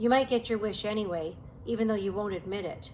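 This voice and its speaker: Using a growling, put-on character voice at a medium pitch, a woman talks very fast over clear background noise. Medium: read story. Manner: growling, scornful.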